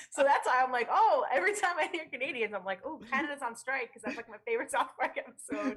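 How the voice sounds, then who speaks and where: A woman with an American accent at a high pitch, very fast and with hardly any pauses, very wide pitch swings and big swings in loudness, over noticeable background noise. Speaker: radio producer. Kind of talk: casual chat.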